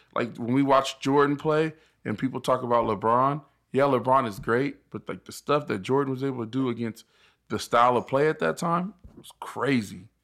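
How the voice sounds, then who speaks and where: A man with an American accent talks at a moderate pace and a medium pitch, with ordinary pitch variation and big swings in loudness. It is an unremarkable speaking voice on a very clean recording with a silent background. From Inland Empire, Southern California. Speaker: former football linebacker. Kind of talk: casual chat.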